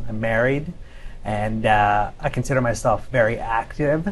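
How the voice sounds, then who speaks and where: Audible room echo hangs around a man as he speaks. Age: 30s. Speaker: cochlear implant patient. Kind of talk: panel discussion.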